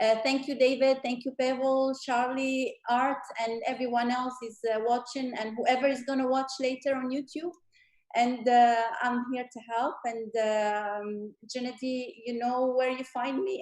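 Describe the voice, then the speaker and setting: Her voice is high-pitched for a woman, with fairly even intonation and a moderate pace. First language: French and Arabic. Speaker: guest speaker. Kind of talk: panel discussion closing remarks. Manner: halting, many fillers.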